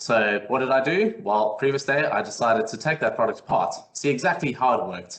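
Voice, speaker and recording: A man with a South African accent, medium pitch and very wide pitch swings, at a fairly quick pace. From South Africa, Cape Town. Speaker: technical consultant. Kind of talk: webinar presentation. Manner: hesitant, many fillers.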